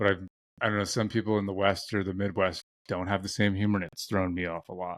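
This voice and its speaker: With an American accent, a man with a fairly low pitch speaks very fast in a flat monotone, his voice dry and close with no echo on a very clean recording with a silent background. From US East Coast. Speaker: podcast host. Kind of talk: casual chat.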